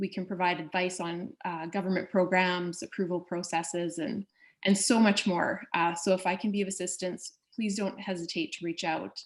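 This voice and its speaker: Female speech at a middling tempo in quiet surroundings. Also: medium pitch for a woman, fairly even intonation. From Canada. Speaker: trade and investment official. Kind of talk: presentation.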